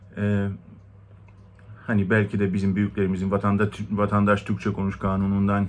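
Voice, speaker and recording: With a Greek accent, a man talks in a fairly low pitch. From Turkey, Istanbul Greek (Rum) minority. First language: Greek (speaking Turkish). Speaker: community member. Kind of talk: personal testimony. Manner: hesitant, many fillers. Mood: calm, reflective. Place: home room. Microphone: phone near.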